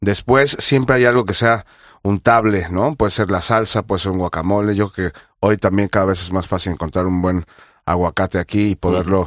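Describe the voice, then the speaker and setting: Talking at a fairly quick pace, a man with an ordinary speaking voice keeps a fairly low pitch and ordinary pitch variation on a very clean recording with a silent background. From Mexico, Mexico City. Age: 40s. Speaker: chef. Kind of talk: interview.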